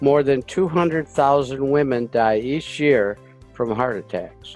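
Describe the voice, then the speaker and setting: Over music in the background, a man with a medium pitch talks at a fairly slow pace with ordinary pitch variation. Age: 80s. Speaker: war veteran, health product presenter. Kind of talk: health education presentation to camera.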